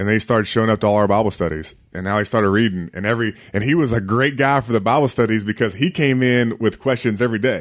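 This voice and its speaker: A medium-pitched man with an American accent, very fast, with hardly any pauses, ordinary pitch variation, and a quiet background. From Virginia. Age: 30s. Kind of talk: interview.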